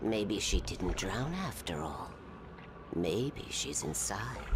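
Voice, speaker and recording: A man whispers in a put-on character voice at a very slow pace. Loud background noise sits behind him. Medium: video game. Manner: whispering, manipulative.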